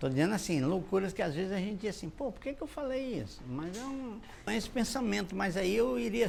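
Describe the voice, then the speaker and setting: Very wide pitch swings from a male speaker, with audible room echo. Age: 60s. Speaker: cordel poet. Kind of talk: interview. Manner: halting.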